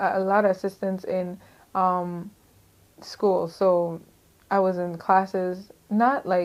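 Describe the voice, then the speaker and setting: A woman speaks at a very slow pace, her pitch medium and her intonation flat and monotone. She leaves long pauses, and they come often. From US Virgin Islands, St. Croix. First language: Crucian Creole. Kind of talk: testimony. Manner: casual, halting with fillers.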